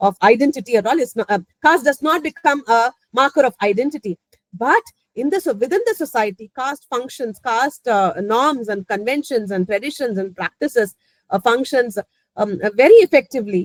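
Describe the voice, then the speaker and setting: In a Tamil accent, a woman speaks at a fairly quick pace with lively intonation and a high pitch. The sound is dry and close, with no echo. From Chennai, Tamil Nadu, India. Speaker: professor. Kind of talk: academic talk. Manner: halting.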